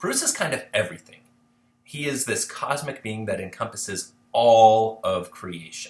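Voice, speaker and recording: A man's medium-pitched voice makes very wide pitch swings. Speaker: history instructor. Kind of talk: lecture. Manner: fast; casual.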